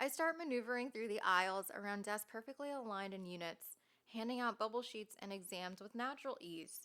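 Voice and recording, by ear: In a natural voice, someone reads a text aloud.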